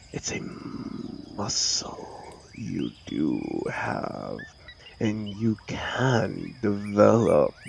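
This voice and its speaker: A man's put-on character voice, fairly low in pitch, at a very slow pace with long, frequent pauses over clear background noise. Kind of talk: comfort audio roleplay. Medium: audio drama. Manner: dry, controlled, sardonic.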